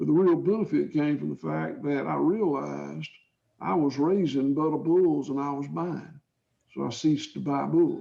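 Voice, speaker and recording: Someone with a Georgia accent speaks at a moderate pace. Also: man. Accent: southern US (Georgia). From US South, south Georgia. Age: 60s. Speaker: cattle farmer. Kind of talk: interview answers. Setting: video call. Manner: halting, repetitive.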